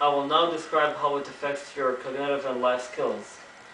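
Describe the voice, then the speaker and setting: Noticeable background noise and audible room echo surround the recording. A man speaks at a moderate pace with a fairly high pitch. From Kuwait. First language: Arabic. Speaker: student giving a class speech. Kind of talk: prepared speech. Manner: halting, with self-corrections.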